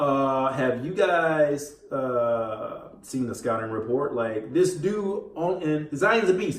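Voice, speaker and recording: A mumbling man with lively intonation, audible room echo and noticeable background noise. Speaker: gaming and sports commentary YouTuber. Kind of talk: casual commentary while gaming. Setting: home recording while playing video game. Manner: distracted, halting with fillers.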